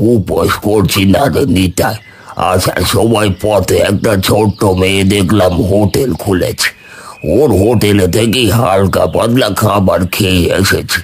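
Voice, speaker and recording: A man speaks in a cartoonish character voice, pitched fairly low. He talks at a very slow pace. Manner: friendly, easygoing.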